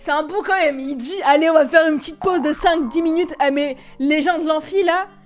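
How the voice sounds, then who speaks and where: At an extremely high pitch, a woman speaks in an animated tone at a fairly quick pace. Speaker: YouTuber reacting to videos. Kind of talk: reaction video commentary.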